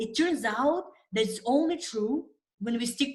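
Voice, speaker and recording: A somewhat breathy woman's voice with lively intonation at a moderate pace. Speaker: nutrition coach and immunology scientist. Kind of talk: webinar presentation. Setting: online webinar with screen share.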